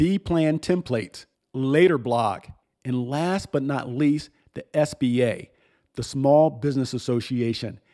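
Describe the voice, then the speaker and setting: Very clean recording with a silent background of a man speaking at a fairly slow pace, dark and mellow in tone, fairly high in pitch, with ordinary pitch variation. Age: 50s. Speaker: podcast host, business coach. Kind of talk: solo monologue podcast. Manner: formal.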